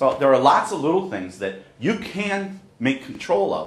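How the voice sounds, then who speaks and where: Noticeable background noise and audible room echo surround a man's voice. He speaks fairly slowly, with very wide pitch swings. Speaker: accessibility educator. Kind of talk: discussion with faculty. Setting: university classroom with group. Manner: loud, projected.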